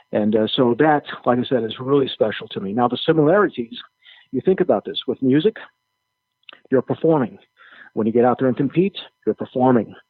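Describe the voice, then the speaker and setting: In an American accent, a man with a medium pitch and lively intonation talks at a fairly quick pace, broken by long, frequent pauses. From Chicago, US Midwest. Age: 60s. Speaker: jiu-jitsu instructor and organist. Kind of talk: podcast interview. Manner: hesitant fillers.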